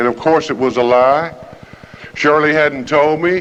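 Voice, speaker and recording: A man talks at a moderate pace and with ordinary pitch variation, and noticeable background noise is present. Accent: American. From US South, Alabama (Jefferson County). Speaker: recovery program speaker. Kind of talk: recovery meeting talk.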